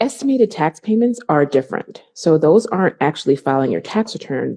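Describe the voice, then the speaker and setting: The speech moves at a fairly quick pace. The intonation is lively. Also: woman. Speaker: accountant and business owner. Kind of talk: interview. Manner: fast.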